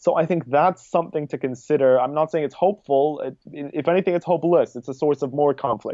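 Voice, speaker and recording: Speaking at a fairly quick pace with hardly any pauses, a man with a plain, everyday voice uses a fairly high pitch and ordinary pitch variation. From New York City, US. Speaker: activist and student. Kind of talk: casual interview.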